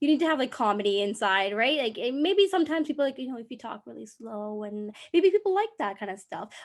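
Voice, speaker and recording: A woman at a very fast pace, high-pitched, with very wide pitch swings, big swings in loudness and hardly any pauses. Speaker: social media creator. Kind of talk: interview. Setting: video call.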